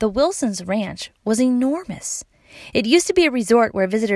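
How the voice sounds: Reading in a natural voice, the speaker uses lively intonation.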